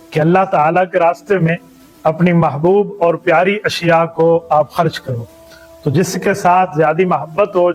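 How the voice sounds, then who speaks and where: Music plays in the background. A high-pitched man talks with fairly even intonation. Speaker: Islamic scholar / mufti. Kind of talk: religious sermon summarizing a Quran chapter.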